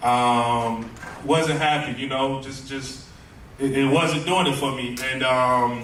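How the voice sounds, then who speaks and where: A man speaks at a very slow pace with a medium pitch and fairly even intonation. Noticeable background noise and audible room echo fill the recording. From US South, Tallahassee, Florida. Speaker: music producer, book festival guest. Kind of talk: interview, personal story. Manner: casual, many fillers and repetitions.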